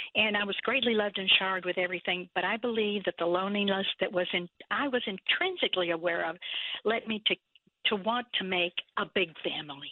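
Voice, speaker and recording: Someone speaks at a fairly quick pace with a Texan accent. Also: woman, medium pitch for a woman, ordinary pitch variation. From South Texas. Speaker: nonprofit founder. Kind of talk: interview.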